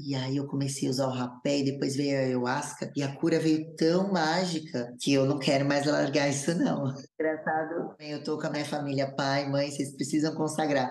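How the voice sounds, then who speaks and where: Someone speaks at a moderate pace in a flat monotone, with audible room echo. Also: woman. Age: 30s. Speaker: influencer, former reality show contestant and TV dancer. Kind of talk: casual interview, personal testimony.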